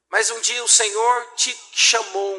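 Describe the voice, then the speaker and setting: Bright and sharp, a man's raised, projected voice sits at an extremely high pitch. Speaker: pastor. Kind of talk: sermon. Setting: church.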